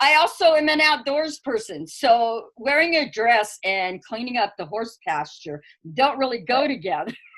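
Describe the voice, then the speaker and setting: A woman speaks loudly at a fairly slow pace, her fairly high pitch swinging very widely. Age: old. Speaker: earth wisdom elder and teacher. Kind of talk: interview.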